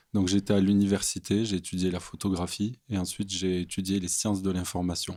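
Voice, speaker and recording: A man with a very deep, low pitch and a dark, mellow tone speaks at a fairly quick pace with hardly any pauses, using a monotone, flat intonation and a slight southern French accent. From southern France, near Montpellier. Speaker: theology student. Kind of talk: podcast interview.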